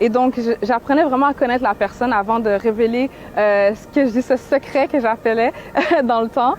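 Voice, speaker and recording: A woman speaks at a moderate pace with a Quebec accent, her voice high and her intonation fairly even. Noticeable background noise runs under the recording. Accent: Québécois French. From Quebec, Montreal. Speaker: activist and painter. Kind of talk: interview.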